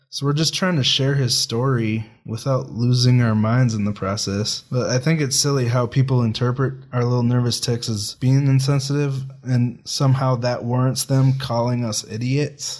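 A man speaks at a medium pitch and a moderate pace, with hardly any pauses and a somewhat breathy voice. His intonation is fairly even, and the background is quiet. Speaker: podcaster. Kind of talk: casual chat.

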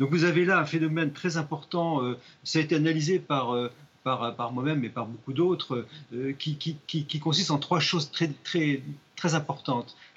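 Somewhat breathy, a man talks at a moderate pace with ordinary pitch variation. His pitch is fairly high. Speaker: magistrate. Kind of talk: studio debate interview. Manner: halting.

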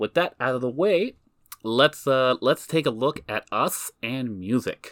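A man speaks at a fairly slow pace and medium pitch with lively intonation. The sound is dry and close, with no echo. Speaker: podcast host. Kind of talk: casual chat. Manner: animated.

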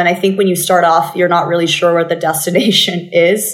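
A woman's fairly low voice with an American accent. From Thailand, Bangkok. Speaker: venture capital investor. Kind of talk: interview. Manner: repeats words when starting sentences.

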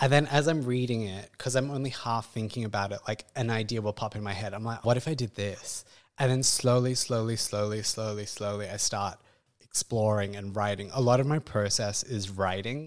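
This man speaks with an Australian accent. His pace is moderate and his intonation fairly even. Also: medium pitch for a man, very clean recording, silent background. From Perth, Western Australia. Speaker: classical dancer. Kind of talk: casual interview. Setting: in person with host, studio.

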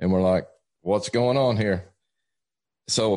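A man talks with an Appalachian accent and ordinary pitch variation. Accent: Southern US (Appalachian). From East Tennessee, US. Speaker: evangelist. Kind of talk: casual interview, testimony.

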